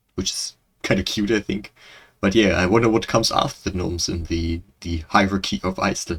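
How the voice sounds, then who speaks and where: Speaking with a German accent at a fairly quick pace, a man with a very deep, low pitch sounds somewhat breathy and keeps his intonation fairly even. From Germany. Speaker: reaction video creator. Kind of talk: casual commentary. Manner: halting.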